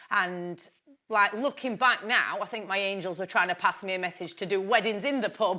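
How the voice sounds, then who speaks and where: A woman speaks with a Yorkshire accent and a bright, sharp tone. Her pace is fairly quick. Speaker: businesswoman. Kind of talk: interview. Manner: loud.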